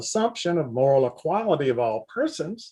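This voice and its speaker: In a Southern US accent, a man speaks at a fairly slow pace with very wide pitch swings. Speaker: philosophy professor. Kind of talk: lecture. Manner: reading aloud.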